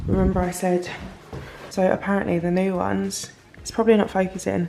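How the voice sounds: A woman's medium-pitched voice, dark and mellow in tone with vocal fry, little pitch movement and a fairly quick pace amid audible room echo.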